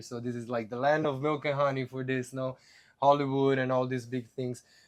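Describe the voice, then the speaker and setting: Over a quiet background, a man with an Italian accent speaks at a moderate pace in a medium pitch and monotone, flat intonation. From Italy. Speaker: podcast host. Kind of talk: casual chat.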